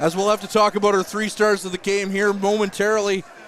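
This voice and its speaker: At a fairly quick pace, a man talks in a high pitch over noticeable background noise. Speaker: hockey play-by-play commentator. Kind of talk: live sports commentary. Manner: loud.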